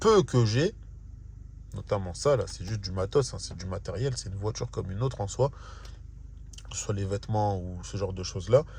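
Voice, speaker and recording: A man speaks at a fairly quick pace in a fairly low, dark, mellow voice that is somewhat breathy. His pitch varies in an ordinary way, and he takes long, frequent pauses. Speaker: vlogger. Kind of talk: casual vlog monologue. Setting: in a car.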